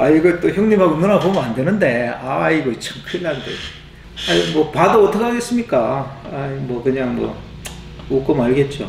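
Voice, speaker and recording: With audible room echo and light background noise, a man speaks at a moderate pace, his fairly high pitch moving in very wide swings. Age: 40s. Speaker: YouTuber; channel host. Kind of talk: monologue to camera. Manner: halting, many fillers. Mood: reflective, lightly joking. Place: home room.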